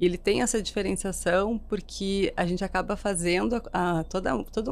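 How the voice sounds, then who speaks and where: Speaking at a fairly quick pace, a woman talks with a slight southern Brazilian accent. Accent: gaúcho accent, slight. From Rio Grande do Sul, southern Brazil. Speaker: marketing executive. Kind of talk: interview podcast.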